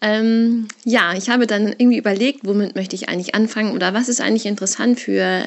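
Speaking at a fairly quick pace, a woman lets her pitch vary in an ordinary way. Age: 30s. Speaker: parent sharing separation experience. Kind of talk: personal monologue, recorded testimony. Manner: hesitant, many fillers.

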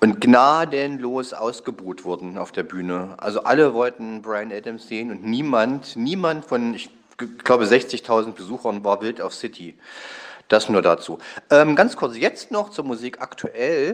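A man talks with a normal speaking voice at a medium pitch. His intonation is lively, and his loudness swings widely. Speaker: listener. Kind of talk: voice message. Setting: recorded voice message.

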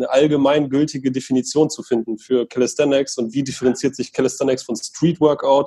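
Fairly high for a man, his dark, mellow voice races at a very fast pace with monotone, flat intonation. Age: 20s. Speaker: sports association co-founder. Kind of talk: casual interview. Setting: online call.

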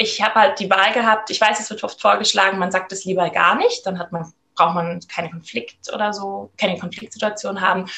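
A woman talks at a fairly quick pace in an unremarkable speaking voice of medium pitch. Her pitch varies in an ordinary way while her loudness swings widely. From Germany, Rhineland-Palatinate. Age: 30s. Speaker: midwife. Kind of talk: interview.

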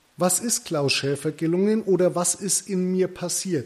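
A man speaks at a very slow pace with a Franconian accent. His tone is dark and mellow, and his pitch is high. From Middle Franconia, Bavaria. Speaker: podcast host, hairdressing business owner. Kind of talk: solo podcast monologue.

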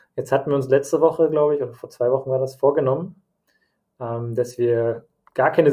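This man's voice sits at a medium pitch and sounds somewhat breathy with a dark, mellow tone. His intonation stays fairly even. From Germany, Bavaria (Nuremberg) and Hesse (Frankfurt area). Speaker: podcast host. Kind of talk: casual chat. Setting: home office, remote recording.

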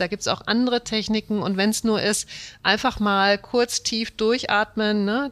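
A woman speaks with an ordinary speaking voice. Her pace is moderate. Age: 40s. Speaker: management consultant. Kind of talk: interview.

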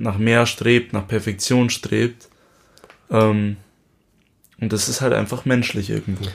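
Pausing often and at length, a man speaks fairly slowly at a medium pitch in a flat monotone. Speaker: podcast co-host, musician. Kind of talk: casual chat.

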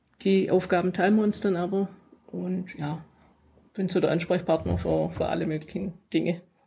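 The voice has vocal fry and a dark, mellow tone, with monotone, flat intonation. It moves at a moderate pace, broken by long, frequent pauses. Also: woman, fairly low pitch for a woman. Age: 40s. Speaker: business owner of electrical installation firm and coach. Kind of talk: casual interview. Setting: in person at guest's office.

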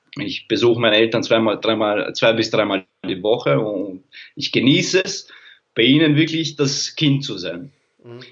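A man's unremarkable speaking voice at medium pitch, lively intonation, moderate pace and big swings in loudness. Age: 30s. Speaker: sports mental coach. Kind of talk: casual interview. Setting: streamed live on social media.

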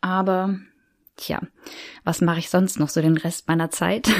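A woman's fairly low-pitched voice at a moderate pace, with fairly even intonation. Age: 30s. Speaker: podcast host. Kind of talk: solo podcast monologue. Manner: many filler sounds.

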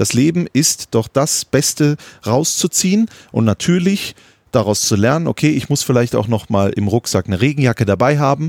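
The recording is very clean, with a silent background. A man speaks at a moderate pace and a medium pitch. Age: 30s. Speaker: football commentator. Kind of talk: casual chat. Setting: outdoors on a terrace.

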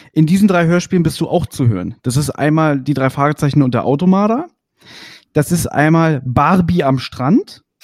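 The speaker has an ordinary speaking voice, very even loudness, and ordinary pitch variation at a moderate pace, with a dry, close sound and no echo. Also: man, fairly high pitch for a man. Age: 30s. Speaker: podcast host. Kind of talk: casual interview.

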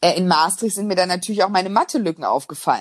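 Fairly even in intonation, the talking races along very fast. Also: woman. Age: 20s. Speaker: business journalist and author. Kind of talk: casual interview.

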